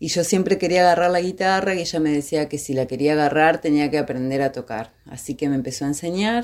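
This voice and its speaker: Speaking at a fairly quick pace, a woman with a very deep, low voice shows ordinary pitch variation. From Argentina, Gualeguay, Entre Ríos. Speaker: singer-songwriter. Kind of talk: personal testimony.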